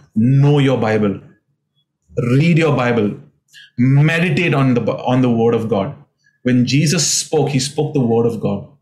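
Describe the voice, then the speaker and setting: Somewhat breathy and very even in loudness, a man speaks at a fairly slow pace with medium pitch, ordinary pitch variation and long, frequent pauses. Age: 40s. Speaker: pastor. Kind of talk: sermon. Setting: remote video recording.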